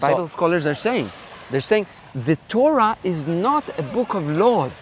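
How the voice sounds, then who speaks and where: A man with an Israeli accent speaks at a fairly slow pace and a high pitch. His pitch swings very widely, and there is noticeable background noise. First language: Hebrew. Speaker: Bible professor. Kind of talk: interview answer.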